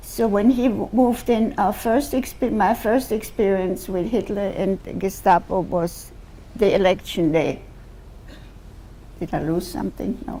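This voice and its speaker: A woman with a German accent speaks at a fairly slow pace and medium pitch, with ordinary pitch variation. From Austria, Vienna. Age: 90s. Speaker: Holocaust-era survivor speaker. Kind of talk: testimony to school students. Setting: school assembly with students.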